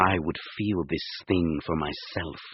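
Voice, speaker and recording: A put-on character voice growls at a fairly slow pace. The intonation stays fairly even. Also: man, very deep, low pitch for a man. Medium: read story. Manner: calm, measured.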